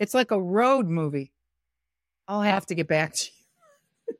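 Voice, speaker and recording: A woman's lively intonation, dry and close with no echo, over a quiet background. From US Midwest, Detroit. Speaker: director and choreographer. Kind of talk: interview.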